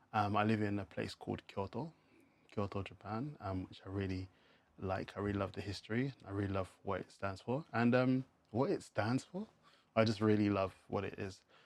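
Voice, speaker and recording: A man speaks in a South London accent. His pitch is fairly low. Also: fairly even intonation, moderate pace. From England, South London. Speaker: English teacher. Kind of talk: casual podcast monologue. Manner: natural pace with filler words.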